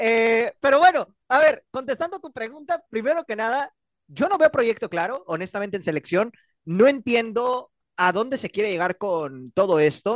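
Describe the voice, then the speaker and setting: An extremely high-pitched man at a moderate pace, the sound dry and close with no echo over a quiet background. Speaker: radio sports panelist. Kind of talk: sports talk radio.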